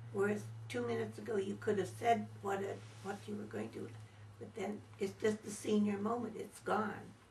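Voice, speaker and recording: Very deep and low, a woman's voice moves through very wide pitch swings. Noticeable background noise and audible room echo are present. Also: moderate pace. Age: 80s+. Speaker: elderly interviewee. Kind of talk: interview.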